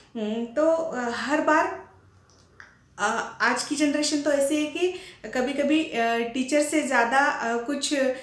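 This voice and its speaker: In audible room echo, a woman with a Marathi accent speaks at a high pitch with ordinary pitch variation. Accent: Marathi-accented Hindi. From Maharashtra, India. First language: Marathi (speaking Hindi). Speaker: professor and teacher. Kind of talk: speech. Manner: halting, many fillers.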